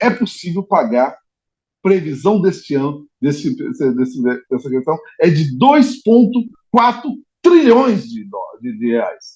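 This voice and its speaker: A man's high-pitched voice at a very slow pace, with very wide pitch swings. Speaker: trade unionist. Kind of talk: debate question. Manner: soft-spoken.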